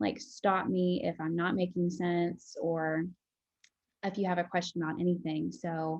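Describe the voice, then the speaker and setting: A woman with a plain, everyday voice speaks at a fairly slow pace, her fairly low pitch moving in lively intonation. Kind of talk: interview.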